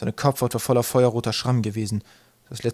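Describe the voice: Plain reading aloud comes through with fairly even intonation.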